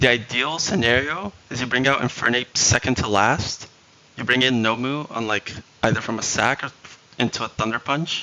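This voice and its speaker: A man at a medium pitch keeps a moderate pace and ordinary pitch variation, with noticeable background noise present. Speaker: video game streamer. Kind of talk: live stream commentary giving strategy advice.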